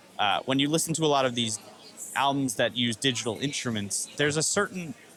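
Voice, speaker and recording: Over noticeable background noise, a man with an American accent talks at a fairly quick pace in a fairly high pitch, with lively intonation and very even loudness. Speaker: music podcast co-host, drummer. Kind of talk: casual chat.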